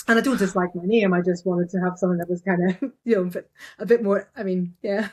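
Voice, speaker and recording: At a very fast pace, a woman speaks at a medium pitch in a somewhat breathy voice. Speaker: digital artist. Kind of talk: casual interview. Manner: energetic.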